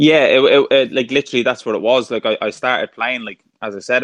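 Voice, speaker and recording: A man with a Dublin accent talks at a fairly quick pace. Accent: Dublin Irish. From Ireland, Dublin. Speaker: former professional footballer. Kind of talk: interview conversation. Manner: halting, repeats words.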